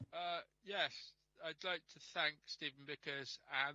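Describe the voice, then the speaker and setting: Mumbling with fairly even intonation, a man's voice comes through with a bright, sharp tone, dry and close with no echo. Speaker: councillor. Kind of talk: council meeting debate. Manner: halting, many fillers.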